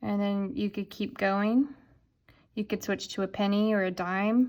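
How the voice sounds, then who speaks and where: A woman's plain, everyday voice at medium pitch with fairly even intonation, in a very clean recording with a silent background. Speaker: art teacher. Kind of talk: tutorial.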